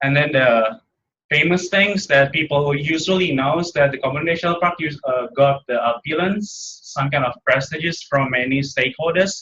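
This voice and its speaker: A man at a fairly quick pace, with an Indonesian accent. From Indonesia, Jakarta. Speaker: graduate student and park ranger. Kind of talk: seminar presentation. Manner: halting.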